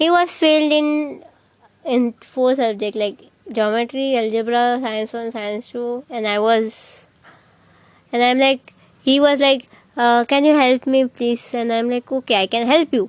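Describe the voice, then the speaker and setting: With an Indian accent, a woman speaks in a high pitch. She talks at a fairly slow pace. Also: ordinary pitch variation. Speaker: vlogger. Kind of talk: casual storytelling. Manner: animated.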